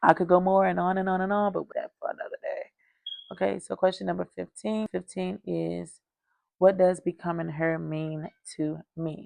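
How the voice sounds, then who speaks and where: In a dry, close recording with no echo, a woman speaks in an animated tone at a moderate pace. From North Carolina. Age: 30s. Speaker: lifestyle vlogger. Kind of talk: casual chat. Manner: frequent filler ums.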